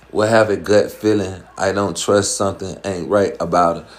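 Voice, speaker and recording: An animated man with an American accent, amid audible room echo. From US South. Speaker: dating and relationship advice streamer. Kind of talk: live stream chat with viewers. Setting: live stream.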